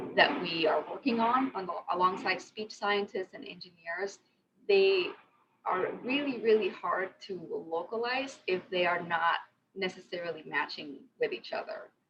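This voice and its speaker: Speaking with a Spanish accent, a woman's voice shows big swings in loudness. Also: medium pitch for a woman, moderate pace. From Mexico. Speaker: conversational designer. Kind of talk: lightning talk.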